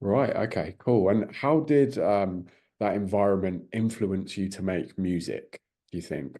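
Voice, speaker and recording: Against a quiet background, a man with a British accent talks at a fairly slow pace in a fairly low voice with a dark, mellow tone and ordinary pitch variation. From Britain. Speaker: music interviewer. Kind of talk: interview.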